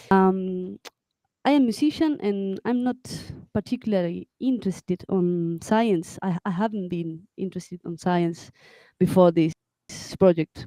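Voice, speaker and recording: A woman speaks with a Spanish accent in a dark, mellow tone, leaving long, frequent pauses. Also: medium pitch for a woman, ordinary pitch variation, fairly slow pace, dry, close sound with no echo. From Argentina, near Córdoba. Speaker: musician. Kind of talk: interview. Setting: live video broadcast. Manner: halting.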